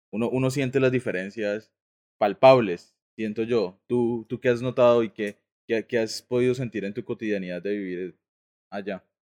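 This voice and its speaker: At a moderate pace, a man talks at a medium pitch with fairly even intonation in an ordinary speaking voice, the sound dry and close with no echo. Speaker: podcast co-host, architect. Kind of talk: casual chat.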